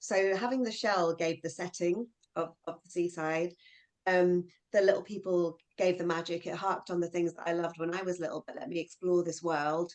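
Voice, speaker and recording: Speaking at a moderate pace, a woman with a London accent has a fairly low pitch and fairly even intonation. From southeast London. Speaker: children's author. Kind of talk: interview at virtual book launch.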